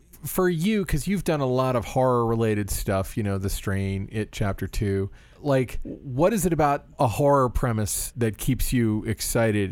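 An ordinary speaking voice, a man with an American accent, medium pitch, lively intonation, moderate pace and hardly any pauses. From Florida, US. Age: middle-aged. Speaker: podcast host. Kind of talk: interview; casual chat. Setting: video call.

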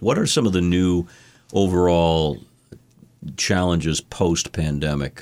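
Very deep, low male voice, fairly slow in pace and ordinary in pitch variation. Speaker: podcast host. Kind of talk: scripted intro then interview chat.

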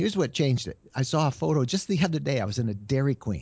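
At a very fast pace, a somewhat breathy man talks with very wide pitch swings. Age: 60s. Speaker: media writer and travel blogger. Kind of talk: interview. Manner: halting, with fillers and repeated words.

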